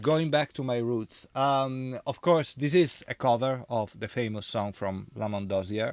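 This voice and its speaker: A man with an Italian accent, medium pitch and lively intonation, in a dry, close sound with no echo on a very clean recording with a silent background. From Italy. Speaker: DJ and vinyl record reviewer. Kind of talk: casual monologue review. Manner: halting, many fillers.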